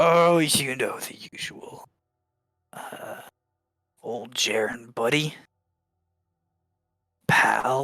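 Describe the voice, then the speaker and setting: Doing a put-on character voice, a man speaks raspy and fairly high at a very slow pace, with long, frequent pauses. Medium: actual play. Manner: overly friendly, slangy.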